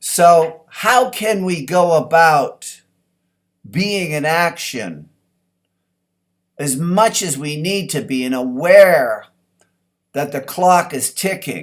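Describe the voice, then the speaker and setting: A man with a high pitch speaks at a very slow pace, with lively intonation and long, frequent pauses, on a very clean recording with a silent background. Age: 60s. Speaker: personal development speaker. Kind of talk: motivational talk.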